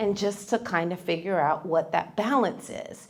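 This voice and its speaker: A woman with a plain, everyday voice, ordinary pitch variation and a moderate pace. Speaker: stroke survivor and fitness instructor. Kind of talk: testimony.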